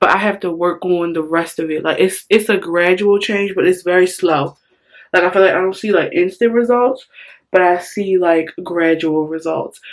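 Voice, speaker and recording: Hers is a normal speaking voice: a woman at medium pitch, moderate pace and fairly even intonation. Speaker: beauty vlogger. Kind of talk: casual tutorial vlog.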